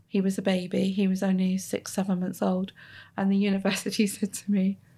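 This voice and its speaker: Recorded very cleanly with a silent background, a woman speaks at a fairly quick pace and a medium pitch. Her tone is dark, mellow and somewhat breathy. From Plymouth, south-west England. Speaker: head of training at a boatbuilder. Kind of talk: interview. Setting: on site at a yacht factory.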